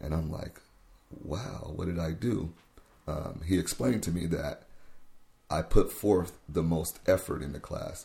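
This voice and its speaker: At a fairly slow pace with long, frequent pauses, a man speaks in a very deep, low voice that is dark, mellow and somewhat breathy, with ordinary pitch variation. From US Pacific Northwest, Tacoma, Washington. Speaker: youth worker. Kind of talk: interview. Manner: halting.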